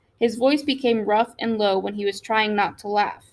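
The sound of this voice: An unforced reading voice carries the whole clip.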